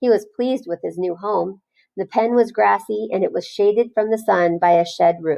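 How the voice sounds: A natural reading voice with ordinary pitch variation comes over a quiet background.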